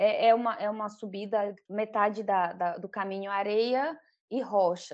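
Against a quiet background, a woman speaks in a fairly high pitch. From Pará, northern Brazil. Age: 40s. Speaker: traveller sharing a trip. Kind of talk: interview. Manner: halting.

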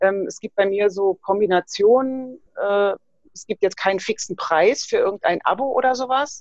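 Recorded dry and close with no echo, a woman with a normal speaking voice talks at a moderate pace and medium pitch, with ordinary pitch variation and big swings in loudness. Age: 50s. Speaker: fitness trainer and nutrition coach. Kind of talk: casual interview.

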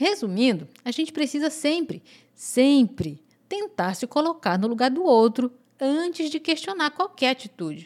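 The pace is fairly slow, with very wide pitch swings. The recording is very clean, with a silent background. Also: woman, high pitch for a woman. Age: 30s. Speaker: podcast host. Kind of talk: solo podcast monologue. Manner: informal and conversational.

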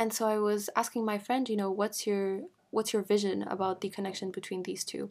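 A woman speaks fairly quickly in a French accent at a medium pitch. Her intonation is monotone and flat, and the recording is very clean with a silent background. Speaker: podcast host. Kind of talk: casual solo talk on faith. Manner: casual, uses many fillers.

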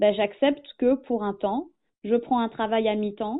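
A woman speaks with fairly high pitch and ordinary pitch variation. Her pace is fairly slow. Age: 30s. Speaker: small business owner, former journalist. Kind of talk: interview. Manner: halting.

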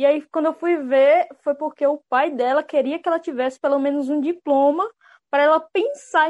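Dry and close with no echo, a woman's high voice moves at a moderate pace with ordinary pitch variation. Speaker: unemployed graduate. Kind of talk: casual chat.

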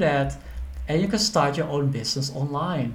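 The man talks at a moderate pace, with audible room echo. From Netherlands. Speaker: accountant and finance educator. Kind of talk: educational monologue.

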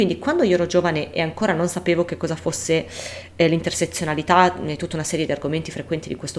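There is noticeable noise in the background while a woman rattles off her words very fast. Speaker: podcast co-host. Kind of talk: casual chat.

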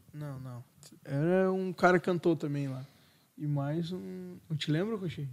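This man has an ordinary speaking voice, fairly high in pitch, with lively intonation. He talks at a fairly slow pace, and his loudness swings a lot. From southern Brazil. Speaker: podcast co-host. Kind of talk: casual chat. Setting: studio.

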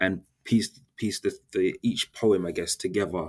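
A man is speaking. His pitch is fairly low. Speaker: novelist. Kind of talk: interview recollection. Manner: hesitant, fillers.

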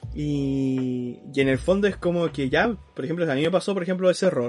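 A man is speaking. He has a Chilean accent. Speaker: podcast co-host. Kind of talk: casual chat.

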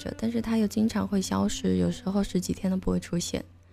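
A woman speaks at a very fast pace. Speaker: late-night live-stream chat host. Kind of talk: casual chat. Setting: live stream. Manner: conversational, relaxed.

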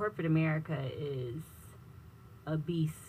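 Her pitch very deep and low, a woman speaks at a fairly slow pace in a somewhat breathy voice. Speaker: business technology consultant. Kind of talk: radio interview.

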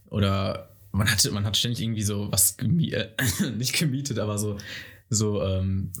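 Amid audible room echo, a man speaks at a moderate pace in a somewhat breathy voice, fairly low in pitch, with ordinary pitch variation. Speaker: guest. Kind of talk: casual chat. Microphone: too far from the mic.

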